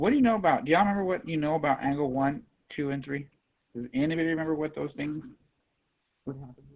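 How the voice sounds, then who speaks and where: A man with a fairly high pitch talks at a very fast pace, with ordinary pitch variation. His loudness swings widely, and he takes long, frequent pauses. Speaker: math teacher. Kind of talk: classroom lecture.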